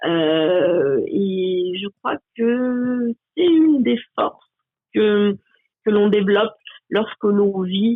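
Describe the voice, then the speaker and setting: Using lively intonation and a medium pitch, a woman talks at a very slow pace with long, frequent pauses. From France, Haut-Forez near Saint-Étienne. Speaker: pilot and stage performer. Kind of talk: interview testimony.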